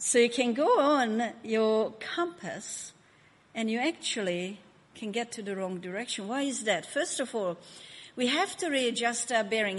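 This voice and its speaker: A woman with a Hungarian accent, fairly high in pitch, with lively intonation and a moderate pace. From Hungary. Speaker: pastor. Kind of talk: sermon. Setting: church.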